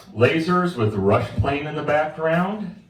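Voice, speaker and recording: A loud man at a fairly high pitch, very wide pitch swings and a very slow pace, with audible room echo and noticeable background noise. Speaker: stand-up comedian and army veteran. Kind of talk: stand-up. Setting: stage with audience at a cocktail bar.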